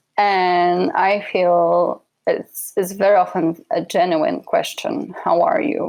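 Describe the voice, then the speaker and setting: A woman speaks with a slight Polish accent. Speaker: relocation consultant. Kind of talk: interview.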